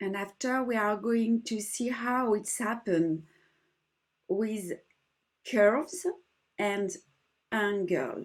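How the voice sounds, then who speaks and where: A woman with a French accent and a fairly high pitch, at a very slow pace with long, frequent pauses, on a very clean recording against a silent background. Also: lively intonation. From France. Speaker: embroidery teacher. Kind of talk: tutorial.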